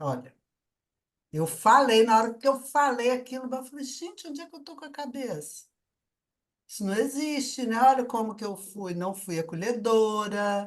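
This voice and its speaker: A woman's fairly high, normal speaking voice at a moderate pace, with lively intonation and big swings in loudness. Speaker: conscientiology researcher presenting her work. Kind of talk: online debate, personal testimony.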